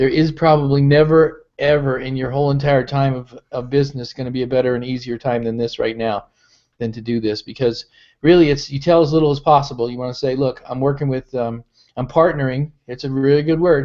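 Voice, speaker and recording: A man's fairly high voice, fairly quick in pace and fairly even in intonation. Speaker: business founder and network marketing leader. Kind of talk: live webinar update. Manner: fast.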